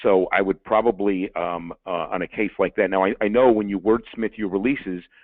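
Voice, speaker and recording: A man with a New York accent, fairly low pitch, fairly even intonation and hardly any pauses. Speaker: lawyer. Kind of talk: webinar presentation. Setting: webinar. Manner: fast.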